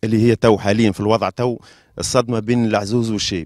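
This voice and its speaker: Recorded with a dry sound and no echo, a man talks over a quiet background. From Tunisia. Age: young. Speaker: brother of victims; interviewee. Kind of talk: interview. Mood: distressed, troubled. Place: open country. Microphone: handheld.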